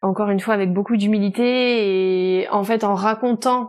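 A woman with an ordinary speaking voice at a medium pitch and fairly slow pace, fairly even in intonation, in a very clean recording with a silent background. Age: 30s. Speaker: novelist and publisher. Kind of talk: casual interview.

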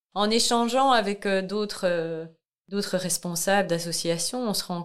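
The pace is fairly slow. A woman talks with ordinary pitch variation. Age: 40s. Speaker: massage therapist and charity founder. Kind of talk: testimony. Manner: hesitant, many fillers.

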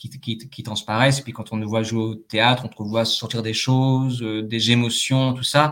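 In a very clean recording with a silent background, a man speaks in a monotone with flat intonation. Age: 30s. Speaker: actor. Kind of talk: testimony. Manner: distinctive old-fashioned formal phrasing, like French New Wave films; halting, many fillers.

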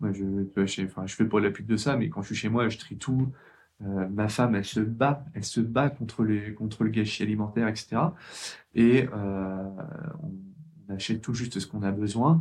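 An unremarkable speaking voice from a man, pitched fairly low, with ordinary pitch variation. He goes at a moderate pace. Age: 30s. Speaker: IT trainer and author. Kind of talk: casual interview.

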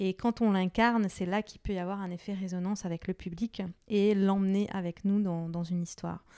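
A woman with a medium pitch and a dark, mellow tone talks at a fairly quick pace in a monotone, flat intonation, recorded very cleanly against a silent background with a dry, close sound and no echo. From Lebanon. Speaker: image and identity coach, entrepreneur. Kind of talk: interview.

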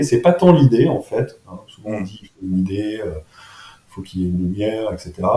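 A man speaks over noticeable background noise. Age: 40s. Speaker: entrepreneur. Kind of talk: interview. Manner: halting, many fillers and repetitions.

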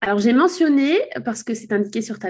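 A woman talks with lively intonation, keeping a moderate pace. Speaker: podcast host, SEO consultant. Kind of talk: interview. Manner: stammering at times.

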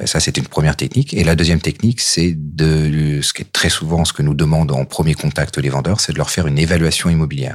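His pitch is very deep and low, with ordinary pitch variation. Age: 40s. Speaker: real estate agent. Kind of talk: interview. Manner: hesitant, frequent fillers.

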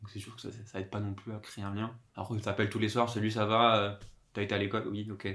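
A man talks at a very fast pace. His fairly low voice is monotone, with flat intonation. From Corsica. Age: 20s. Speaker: podcast guest. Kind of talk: casual chat. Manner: hesitant, many fillers.

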